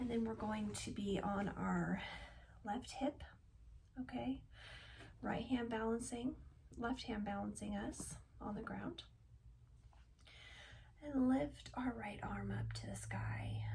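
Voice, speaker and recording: Very slowly and softly, a woman speaks. She leaves long, frequent pauses. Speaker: yoga instructor. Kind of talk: guided yoga instruction. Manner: soft-spoken.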